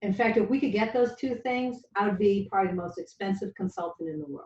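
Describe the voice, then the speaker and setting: Somewhat breathy and very fast, a woman with a Boston accent speaks at a medium pitch with lively intonation. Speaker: marketing data consultant. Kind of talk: business presentation on intent data.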